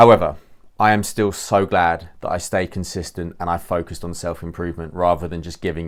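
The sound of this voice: A man speaks fast. His pitch is low, with ordinary variation.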